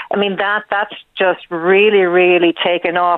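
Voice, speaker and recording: A woman speaks at medium pitch with an Irish accent. Her pace is moderate and her intonation monotone and flat. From Wexford, Ireland. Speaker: librarian. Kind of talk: radio interview. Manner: halting.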